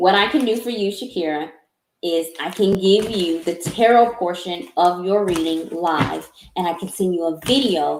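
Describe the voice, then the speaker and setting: A fairly low-pitched woman with an American accent and ordinary pitch variation. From US South. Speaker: tarot reader. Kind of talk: live-stream tarot reading. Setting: live stream from home office. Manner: halting.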